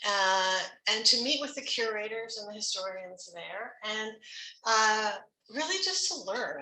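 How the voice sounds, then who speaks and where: Amid audible room echo, a woman talks at a fairly slow pace in a Canadian accent. Her pitch is fairly high and her intonation lively. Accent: Canadian, kept fresh. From Canada, Ontario (Toronto). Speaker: music professor. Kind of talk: faculty talk. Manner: casual, with many fillers.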